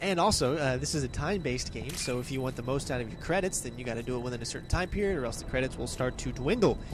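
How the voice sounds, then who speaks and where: A man's medium-pitched voice with lively intonation, very fast and with hardly any pauses, plus audible room echo and noticeable background noise. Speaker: gaming commentator. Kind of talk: gameplay commentary. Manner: casual, profane.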